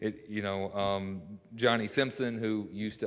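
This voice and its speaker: In a Kentucky accent, a man talks at a fairly slow pace, fairly low in pitch and flat in a monotone, with audible room echo. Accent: rural Kentucky twang. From Kentucky (Mount Sterling, east of Lexington). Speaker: local business owner. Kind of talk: public address at a city council meeting. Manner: hesitant, many fillers.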